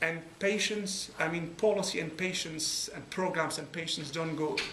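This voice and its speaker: A man with a Kurdish accent speaks at a moderate pace and a fairly high pitch, with fairly even intonation. Audible room echo and noticeable background noise surround him. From Iraqi Kurdistan. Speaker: NGO researcher. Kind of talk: talk to a board meeting. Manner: halting, many fillers and restarts.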